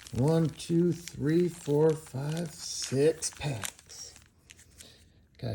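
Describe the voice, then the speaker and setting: Here a man talks at a very slow pace with a fairly high pitch. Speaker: trading card collector and video creator; military veteran. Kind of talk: casual box-break commentary. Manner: slowed down; casual slangy.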